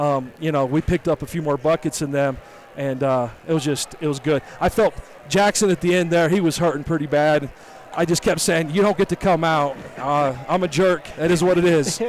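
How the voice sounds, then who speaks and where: With ordinary pitch variation, a man talks at a moderate pace in a fairly high voice. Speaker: high school basketball coach. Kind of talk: post-game interview. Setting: hot echoing high school gym. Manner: loud.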